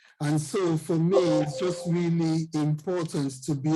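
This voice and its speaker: A man with a Nigerian accent, a fairly high voice, a dark, mellow tone and a fairly slow pace. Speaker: financial coach. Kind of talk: interview.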